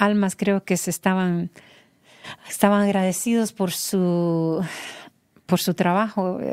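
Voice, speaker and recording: Against a quiet background, a woman speaks very slowly with a dark, mellow tone and monotone, flat intonation. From Honduras, San Pedro Sula; Honduras. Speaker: mother of a singer; interview guest. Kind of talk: interview testimony. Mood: reflective, emotional personal story. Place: studio. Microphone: studio mic.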